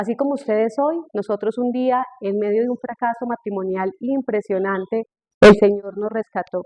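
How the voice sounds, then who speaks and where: In a fairly high pitch with ordinary pitch variation, a woman speaks at a moderate pace. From Colombia, Tolima. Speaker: speaker on marriage. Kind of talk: testimony.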